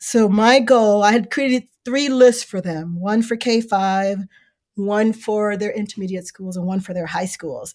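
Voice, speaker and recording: A woman speaks in a plain, everyday voice with an American accent, pitched in the middle for a woman. Her intonation stays fairly even at a moderate pace. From Chicago South Side. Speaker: bookstore owner. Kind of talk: casual interview. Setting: virtual remote recording.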